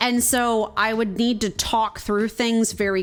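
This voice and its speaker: A woman speaks with a fairly high pitch. Noticeable background noise runs under her voice. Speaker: video game streamer. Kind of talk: casual chat. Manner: fast.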